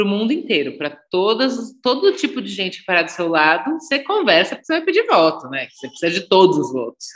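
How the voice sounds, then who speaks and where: A woman is talking here. Her pace is moderate. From Brazil, São Paulo. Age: 40s. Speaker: psychologist and public official. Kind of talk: podcast interview.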